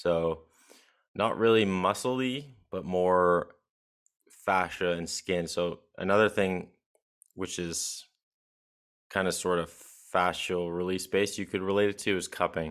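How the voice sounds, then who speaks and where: In an American accent and a very deep, low pitch, a man talks at a fairly slow pace with fairly even intonation and long, frequent pauses, on a very clean recording with a silent background. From Halifax, Nova Scotia, Canada. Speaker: chiropractic student and podcaster. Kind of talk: casual interview conversation. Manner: uses filler words like 'like', conversational.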